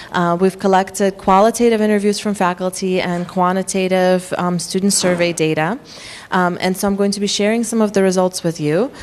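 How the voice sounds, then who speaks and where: A woman with a slight Russian accent talks at a fairly quick pace in a medium pitch. Her intonation is monotone and flat, and there is noticeable background noise. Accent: faint Russian. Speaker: psychology professor. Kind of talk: workshop lecture. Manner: frequent filler words (um, uh).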